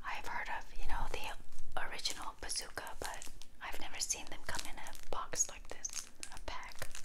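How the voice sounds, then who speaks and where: A woman whispers in a relaxed tone at a moderate pace. Her loudness swings widely, with long, frequent pauses. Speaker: ASMR gum chewing creator. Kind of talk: casual whispered ramble to camera. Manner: whispered, relaxed. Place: home room. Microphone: lapel.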